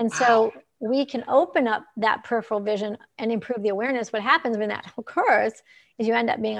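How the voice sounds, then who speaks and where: A plain, everyday voice at a moderate pace, with ordinary pitch variation and a quiet background. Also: woman. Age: 60s. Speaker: optometrist and author. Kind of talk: casual interview. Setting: live video stream.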